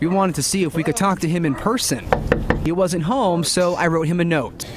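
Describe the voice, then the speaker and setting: A man talks at a fairly quick pace, his pitch high for a man with ordinary variation and very even loudness. Noticeable background noise sits behind him. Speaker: TV news anchor and reporter. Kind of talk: TV news report.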